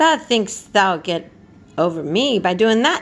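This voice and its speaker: A woman puts on a gruff character voice at a medium pitch, swinging her pitch very widely while speaking at a fairly slow pace. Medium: read story. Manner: gruff, blunt, sparing with words.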